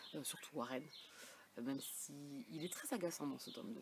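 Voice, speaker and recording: Soft-spoken and showing vocal fry, a woman talks at a fairly quick pace. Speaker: book vlogger. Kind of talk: casual vlog chat.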